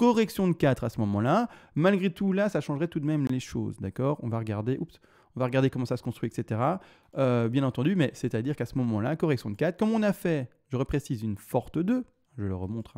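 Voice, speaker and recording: Speaking at a very fast pace, a man with a medium pitch and a dark, mellow tone makes very wide pitch swings, heard in a dry, close sound with no echo on a very clean recording with a silent background. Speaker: crypto market analyst. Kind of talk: chart analysis tutorial. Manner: halting, many fillers.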